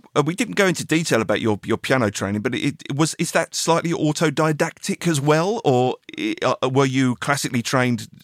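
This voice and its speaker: In an English accent, the speaker talks at a fairly quick pace with lively intonation, in a dry, close sound with no echo. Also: man. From England. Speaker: podcast host and musician. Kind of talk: casual interview. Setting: video call.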